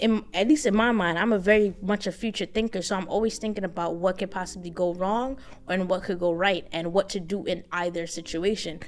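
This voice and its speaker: Her voice sits at a medium pitch for a woman and shows ordinary pitch variation. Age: young. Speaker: finance vlogger. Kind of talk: casual vlog monologue. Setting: hotel room. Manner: casual, halting with many fillers.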